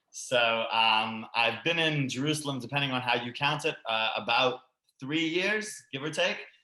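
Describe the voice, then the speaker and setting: With a Canadian accent, a man speaks at a moderate pace in a medium pitch, his tone bright and sharp and his pitch variation ordinary. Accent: sounds Canadian rather than Australian. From Sydney, Australia and Canada. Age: 20s. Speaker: immigrant to Israel, former teacher. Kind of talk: online panel, personal story. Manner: hesitant, many fillers.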